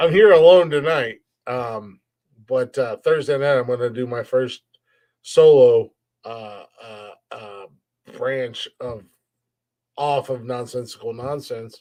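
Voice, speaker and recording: Speaking very slowly in an American accent, the voice has a dark, mellow tone, ordinary pitch variation and long, frequent pauses. The background is quiet. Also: man, medium pitch for a man. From US Midwest. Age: 40s. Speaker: podcast host. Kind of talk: casual chat. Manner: halting.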